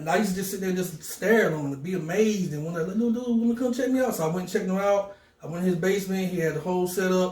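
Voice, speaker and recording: Speaking very fast with hardly any pauses, a man with an American accent has a high pitch and ordinary pitch variation, with audible room echo and noticeable background noise. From North Carolina and Philadelphia. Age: 40s. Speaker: DJ and music producer. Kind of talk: interview. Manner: animated.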